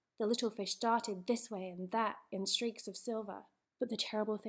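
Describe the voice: This is plain reading aloud with fairly even intonation. The background is quiet.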